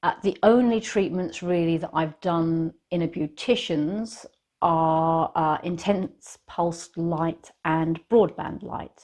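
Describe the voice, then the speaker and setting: Against a quiet background, a woman with a British accent speaks at a very slow pace, her fairly low voice showing ordinary pitch variation. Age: 60s. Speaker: lifestyle vlogger. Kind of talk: casual talk to camera. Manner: hesitant, repeats words.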